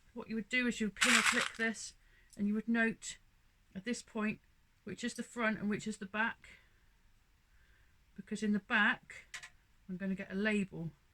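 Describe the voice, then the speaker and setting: A woman with a bright, sharp tone speaks at a moderate pace in a monotone, flat intonation, with long, frequent pauses. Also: fairly high pitch for a woman. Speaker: sewing fabric shop owner. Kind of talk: tutorial. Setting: home sewing room. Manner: loud; casual.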